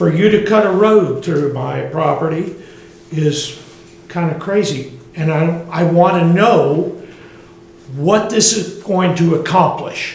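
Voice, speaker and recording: A man with an American accent talks at a very slow pace and a high pitch, with ordinary pitch variation. Noticeable background noise and audible room echo fill the recording. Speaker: resident speaking at public comment. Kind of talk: public comment. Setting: council meeting, no microphone. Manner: loud.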